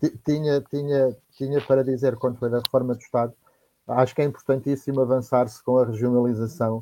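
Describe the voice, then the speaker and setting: A man's dark, mellow voice of medium pitch runs at a fairly quick pace in a monotone, flat intonation. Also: very even loudness. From Portugal, Viseu district. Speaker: panelist. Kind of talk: political discussion. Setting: online livestream. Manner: halting, repetitive.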